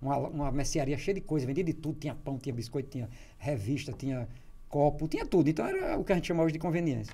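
A man speaks very fast in a fairly high register, his pitch shifting by ordinary amounts. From Natal, Rio Grande do Norte, Brazil; Rio Grande do Norte, Brazil. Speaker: writer and columnist; interview guest. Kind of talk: interview. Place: studio. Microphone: studio mic.

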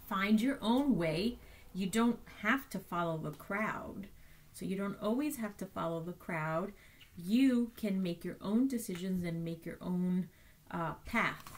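Somewhat breathy, a woman speaks at a fairly slow pace with ordinary pitch variation. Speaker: teacher. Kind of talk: bedtime story reading aloud to children. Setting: remote learning video for schoolchildren. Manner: gentle, slow and soft, warm storyteller tone; animated, repeats key lines for emphasis. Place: home room. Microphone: webcam.

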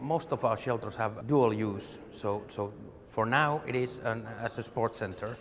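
Light background noise under a moderate pace. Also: man. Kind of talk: interview answer. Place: tunnel cave. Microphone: lapel.

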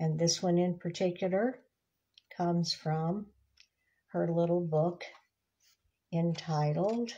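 Very slow and somewhat breathy, a woman speaks with a dark, mellow tone, fairly low pitch, fairly even intonation and very even loudness. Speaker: devotional book reader. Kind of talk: casual devotional talk. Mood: gentle, warm. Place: home room. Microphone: phone near.

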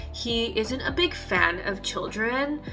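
Over faint background music, a woman's words come at a very slow pace. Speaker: vlogger. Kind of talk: casual vlog chat. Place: home room. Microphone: phone near.

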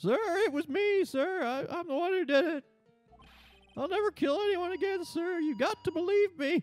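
Loud speech at a moderate pace plays over faint music in the background. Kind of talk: comic overacting. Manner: loud, eager, says sir constantly.

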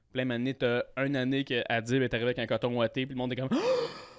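A man speaks at a fairly quick pace in a Quebec accent. The background is quiet. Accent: Québécois French. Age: 20s. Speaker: comedian. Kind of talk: casual chat. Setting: studio. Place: studio. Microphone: studio mic.

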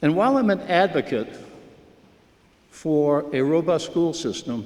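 Fairly high in pitch, a man speaks at a fairly slow pace with very wide pitch swings. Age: 70s. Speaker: town resident. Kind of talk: public comment at town meeting. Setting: town meeting hall.

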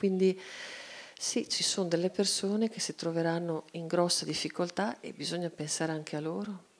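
A woman talks at a moderate pace in a fairly low pitch, with ordinary pitch variation. It is a plain, everyday voice. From Italy. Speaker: cartoonist; guest. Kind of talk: panel discussion. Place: hall. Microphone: handheld.

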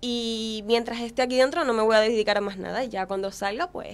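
A woman talks at a fairly quick pace, her fairly high voice held in fairly even intonation. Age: young. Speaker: beauty pageant contestant; guest. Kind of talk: casual interview. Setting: studio. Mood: confident, motivational. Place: studio. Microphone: studio mic.

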